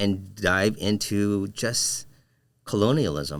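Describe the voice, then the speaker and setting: On a very clean recording with a silent background, a man with a Filipino accent speaks very slowly at a fairly low pitch. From Philippines, moved to Michigan at 11. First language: Filipino language. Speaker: designer and educator. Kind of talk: casual interview conversation. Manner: halting, many fillers and repeats.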